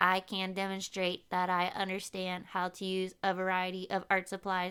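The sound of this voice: A female-sounding voice puts on a robotic character voice at medium pitch, monotone and flat, at a moderate pace. The recording is very clean with a silent background.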